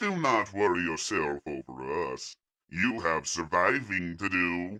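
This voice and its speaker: Speaking fairly slowly, this man puts on a character voice pitched very deep and low. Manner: calm, cold, commanding.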